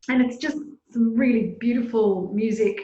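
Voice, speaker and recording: With an Australian accent, a woman speaks in a somewhat breathy voice with monotone, flat intonation. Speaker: flutist and artistic director. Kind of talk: interview answer.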